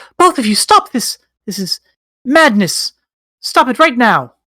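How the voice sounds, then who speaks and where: This is a put-on character voice, squeaky and fairly high in pitch with very wide pitch swings. It moves at a moderate pace. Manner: urgent, pleading.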